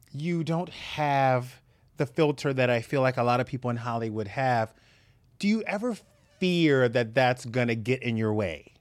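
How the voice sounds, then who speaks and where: A man speaks in a plain, everyday voice at a medium pitch. His pace is moderate and his pitch variation is ordinary. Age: 30s. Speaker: podcast host, entertainment interviewer. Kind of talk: casual interview.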